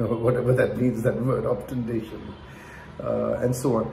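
A man speaks with audible room echo. Light background noise sits underneath. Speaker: wellness teacher. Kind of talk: lecture. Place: home room. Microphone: earbuds.

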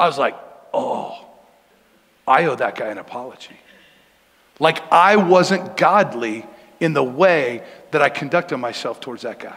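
With an American accent and lively intonation, a man speaks at a moderate pace with long, frequent pauses. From Denver, Colorado. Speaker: pastor. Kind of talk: sermon. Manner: casual, conversational. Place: church.

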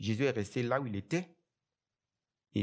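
A man speaks with very wide swings in pitch against a quiet background. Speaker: preacher. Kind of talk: sermon. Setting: church. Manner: animated, exhortative preaching, direct address to the congregation. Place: church. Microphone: headset.

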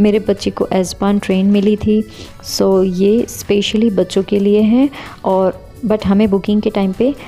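A woman's flat, monotone voice at a fairly slow pace, with faint music in the background. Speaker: family travel vlogger. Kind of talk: casual vlog chat. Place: train.

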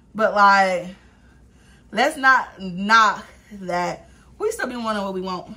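Her voice is clearly female. It carries a bright, sharp tone. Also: long, frequent pauses, big swings in loudness. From Los Angeles, US. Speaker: YouTuber, vlogger. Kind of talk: casual eat-with-me vlog. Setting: eating on camera at home. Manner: animated, frequent laughter. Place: home room. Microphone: camera far.

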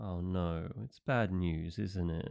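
In a put-on character voice, a man speaks slowly at a low pitch with vocal fry, ordinary pitch variation and a clear, smooth, slightly mellow tone, on a very clean recording with a silent background.

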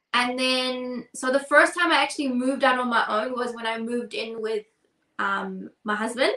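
Against a quiet background with audible room echo, a woman speaks in a high pitch with a bright, sharp tone and fairly even intonation. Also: moderate pace. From New Zealand. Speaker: podcast co-host. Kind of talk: casual chat. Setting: video call. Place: home room.

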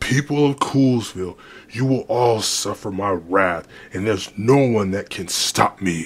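With lively intonation, a man talks at a medium pitch. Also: moderate pace. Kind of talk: amateur villain acting. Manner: menacing, gloating.

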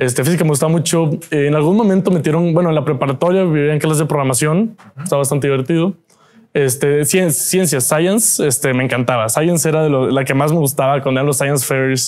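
Against a quiet background, a man talks at a fairly quick pace with a fairly high pitch, ordinary pitch variation and very even loudness. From Mexico, Monterrey; Nuevo León, Mexico. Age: 20s. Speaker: entrepreneur and inventor; guest. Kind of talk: interview. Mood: relaxed, animated storytelling. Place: studio. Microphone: lapel.

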